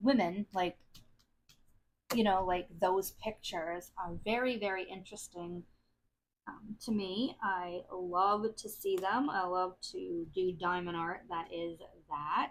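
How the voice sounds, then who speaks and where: Speaking very slowly in an American accent, a woman uses a medium pitch with ordinary pitch variation. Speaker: craft video creator. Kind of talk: casual chat.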